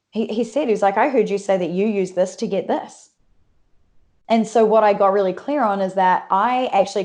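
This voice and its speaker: With a New Zealand accent, a woman speaks at a fairly quick pace in a dark, mellow voice of medium pitch, with ordinary pitch variation, over a quiet background. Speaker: transformative coach. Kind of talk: podcast interview.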